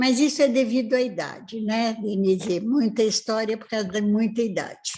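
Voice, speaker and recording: Her voice is fairly high, somewhat breathy and dark and mellow in tone, as this woman speaks at a moderate pace with ordinary pitch variation. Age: 80s+. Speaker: family therapist and professor. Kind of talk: live-stream interview.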